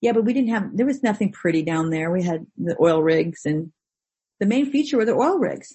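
In an American accent, a woman speaks somewhat breathily at a moderate pace. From Orange County, California. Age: 50s. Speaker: actress. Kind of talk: casual chat. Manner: animated.

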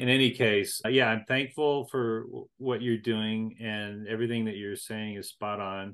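Using an unremarkable speaking voice, the speaker keeps a moderate pace with hardly any pauses and fairly even intonation. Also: man, medium pitch for a man. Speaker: interviewer host. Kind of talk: interview conversation.

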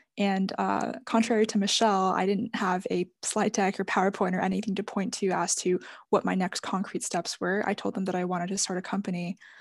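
Medium-pitched female speech with vocal fry at a fairly quick pace, against a quiet background. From China-born, raised in Atlanta US. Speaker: startup founder. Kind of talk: casual panel discussion.

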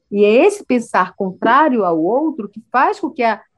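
In a quiet background, a woman uses an ordinary speaking voice at a moderate pace. Her pitch is fairly high and her intonation lively. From Brazilian Amazon, Amazonas. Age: 40s. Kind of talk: interview.

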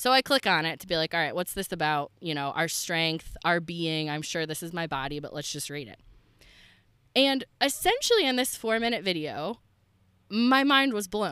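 Very clean with a silent background, the recording has a woman at a moderate pace whose fairly low, bright, sharp, animated voice shows very wide pitch swings and big swings in loudness. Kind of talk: faith podcast monologue.

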